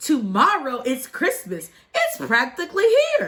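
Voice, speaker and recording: A woman's growling, put-on character voice, high-pitched and fairly slow. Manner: snarling, grumpy, scheming.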